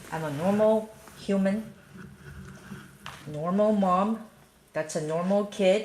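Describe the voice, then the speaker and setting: Speaking at a very slow pace with a Chinese accent, a woman uses a medium pitch and ordinary pitch variation over noticeable background noise. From China. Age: 40s. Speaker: parent live streamer. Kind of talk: casual chat. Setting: live stream at home.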